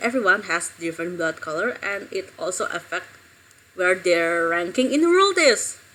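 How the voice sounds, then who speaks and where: Lively intonation marks this speech with an Indonesian accent, heard over noticeable background noise. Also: woman. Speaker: streamer. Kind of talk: casual live stream chat. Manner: halting.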